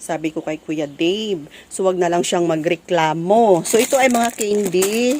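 Over noticeable background noise, a woman speaks at a medium pitch. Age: 40s. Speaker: vlogger and sari-sari store owner. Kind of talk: casual vlog, unboxing. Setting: at home store, standing. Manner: animated, laughing often.

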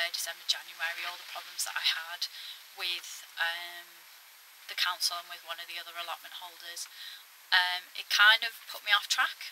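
A woman's monotone, flat delivery at a fairly quick pace, with light background noise. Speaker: allotment vlogger. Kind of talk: casual vlog chat. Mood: reflective, a bit frustrated. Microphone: phone near.

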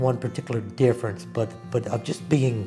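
A man speaks at a moderate pace with fairly low pitch and an Alabama accent while clear music plays in the background. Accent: Southern US (Alabama). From Birmingham, Alabama. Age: 60s. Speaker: retired computer programmer, wheelchair athletics coach. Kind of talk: interview answer. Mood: calm, reflective. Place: home room.

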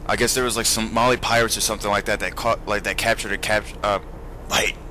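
A man's medium-pitched voice at a very fast pace over noticeable background noise. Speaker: video game commentator. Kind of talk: casual let's-play commentary over gameplay. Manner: excitable, profane, blurting reactions like oh shit mid-sentence; rambling, filler-heavy, loses train of thought.

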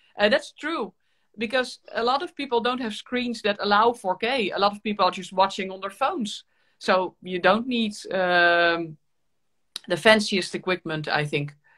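A woman with a Dutch accent speaks at a moderate pace in a bright, sharp tone, with lively intonation and big swings in loudness. The background is quiet. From Netherlands. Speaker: violin teacher and YouTuber; host violinist. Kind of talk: casual interview chat. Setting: video call livestream. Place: home room. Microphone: webcam.

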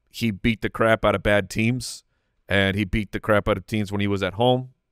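Here a man speaks at a fairly low pitch over a quiet background. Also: dry sound with no echo. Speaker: fantasy football podcast host. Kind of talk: casual chat. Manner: calmer, less outwardly excited. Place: studio. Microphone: studio mic.

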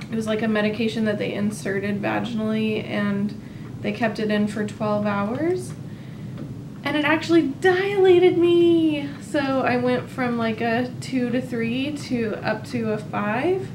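Noticeable background noise accompanies a woman speaking at a fairly slow pace. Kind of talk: casual vlog chat. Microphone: camera far.

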